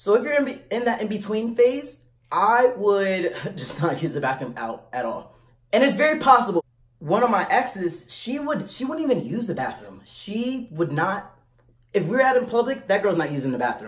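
Speaking at a moderate pace, a man lets his pitch swing very widely. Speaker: vlogger giving advice. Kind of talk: casual vlog chat.

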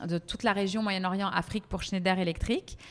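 The recording is very clean, with a silent background. A woman speaks in a medium pitch with fairly even intonation. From Paris, France. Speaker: PR professional and tablescaping influencer. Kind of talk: interview. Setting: podcast. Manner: hesitant, many fillers.

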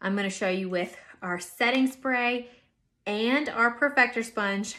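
A woman speaks with ordinary pitch variation. Her tone is bright and sharp. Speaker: makeup tutorial host. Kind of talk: tutorial. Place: home room. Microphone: phone near.

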